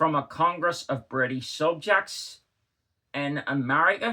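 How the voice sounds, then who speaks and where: A man with a Northern Irish accent, bright, sharp tone and fairly slow pace. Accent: Northern Irish (Belfast). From Northern Ireland. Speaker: historian. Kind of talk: literary reading.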